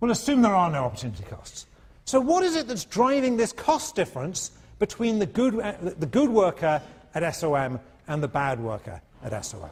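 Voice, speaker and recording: A man with a non-native accent speaks at a fairly quick pace, his high voice animated and swinging very widely in pitch. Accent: non-American accent students find hard. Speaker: economics professor. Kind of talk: lecture. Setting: lecture hall with students. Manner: animated, conversational.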